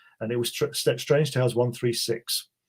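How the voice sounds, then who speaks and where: A man with a British accent speaks at a medium pitch and a fairly quick pace. His voice is somewhat breathy, with fairly even intonation. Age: 60s. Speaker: author. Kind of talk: interview.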